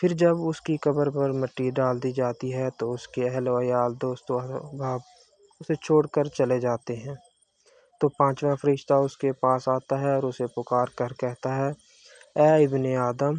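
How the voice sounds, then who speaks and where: A man speaks at a medium pitch in a flat monotone. The sound is dry and close, with no echo. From Pakistan. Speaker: voice-over artist. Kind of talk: religious story narration.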